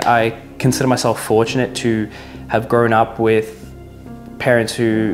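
Faint background music beneath a male speaker. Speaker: vlogger. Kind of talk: casual vlog chat. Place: kitchen. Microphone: lapel.

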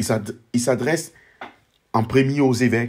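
A man at a medium pitch, fairly even in intonation and fairly slow in pace. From Ivory Coast. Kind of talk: book presentation monologue. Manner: formal.

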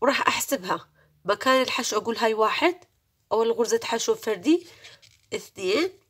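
A woman speaks in an Iraqi accent at a fairly high pitch. Her pitch swings very widely. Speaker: crochet tutorial creator. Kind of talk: tutorial. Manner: raising her voice to be clear; slow, counting stitches step by step.

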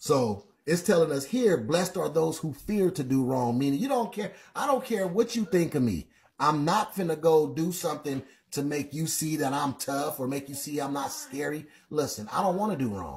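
With light background noise, a man speaks at a moderate pace in a somewhat breathy voice with lively intonation. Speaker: livestream Bible teacher. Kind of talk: sermon-like livestream commentary. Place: home room.

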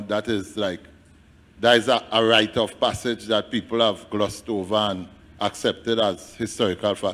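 At a moderate pace, a man talks in an unremarkable speaking voice, fairly low in pitch. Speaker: audience member. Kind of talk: audience question. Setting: stage with audience. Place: hall.

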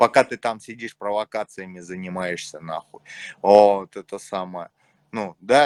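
A man with a Moscow accent at a moderate pace, in a dry, close sound with no echo. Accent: Moscow Russian. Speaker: chat roulette stranger. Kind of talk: casual chat. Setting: video call.

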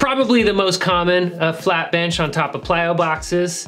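Faint music plays in the background as a man talks in a high voice with ordinary pitch variation. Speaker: fitness channel host. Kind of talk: casual vlog chat. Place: gym.

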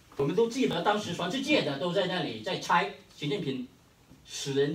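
With a Hainanese accent, a man speaks at a moderate pace, his pitch swinging very widely. Room echo is audible. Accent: Hainanese-accented Mandarin. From Hainan, China. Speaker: history professor. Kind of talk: conference keynote speech. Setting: conference hall with audience. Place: meeting room. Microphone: camera far.

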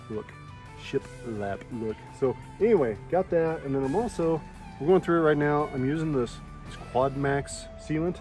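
Clear music plays in the background of a dry recording with no echo, where the speech moves at a moderate pace with long, frequent pauses. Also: man. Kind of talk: casual tutorial vlog. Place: garden. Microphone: phone near.

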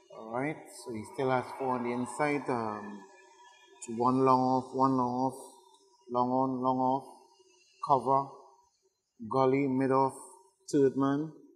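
A man's medium-pitched, monotone, flat voice at a fairly slow pace, with long, frequent pauses and music in the background. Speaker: cricket commentator. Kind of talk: live sports commentary.

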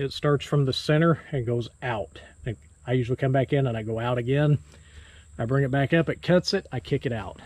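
A man at a fairly quick pace, somewhat breathy, with ordinary pitch variation and a dry, echo-free sound. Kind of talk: tutorial. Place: farm machine. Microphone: phone near.

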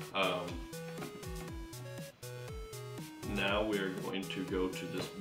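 This man's fairly slow speech is accompanied by clear background music. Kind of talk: casual show-and-tell commentary. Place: home room.

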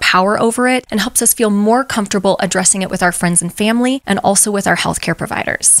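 A woman talks at a very fast pace with ordinary pitch variation in a dry sound with no echo. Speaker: women's health educator. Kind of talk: educational explainer. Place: home room. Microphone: studio mic.

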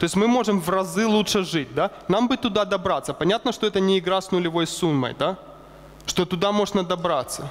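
With a high voice and ordinary pitch variation, a man talks at a fairly quick pace. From Ukraine. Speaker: economist; lecturer. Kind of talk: lecture. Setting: stage with audience. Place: hall. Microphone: headset.

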